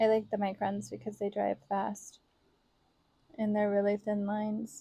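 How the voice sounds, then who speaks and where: Soft-spoken and somewhat breathy, a woman of medium pitch talks at a moderate pace with fairly even intonation and a dark, mellow tone. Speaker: planner vlogger. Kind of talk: casual voice-over while crafting.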